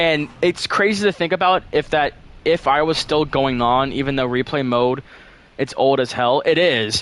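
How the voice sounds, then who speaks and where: In an ordinary speaking voice, a man talks at a fairly slow pace with a fairly high pitch and lively intonation. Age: 18. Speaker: game streamer and map developer. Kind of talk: casual live stream chat. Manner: casual, fillers and restarts.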